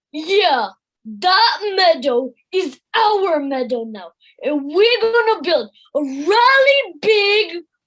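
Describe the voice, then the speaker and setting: In a put-on character voice of extremely high pitch, the speaker goes at a very slow pace with very wide pitch swings. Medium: audio drama. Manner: eager, simple, chatty.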